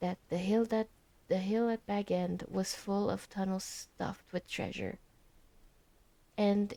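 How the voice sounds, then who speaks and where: A soft-spoken woman with a fairly high pitch and a dark, mellow tone. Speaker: ASMR streamer. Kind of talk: reading aloud. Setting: live stream. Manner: halting.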